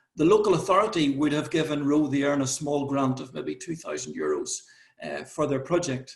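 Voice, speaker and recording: A man with an Irish accent talks at a fairly quick pace. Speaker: conference presenter. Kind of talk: conference presentation. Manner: repetitive false starts.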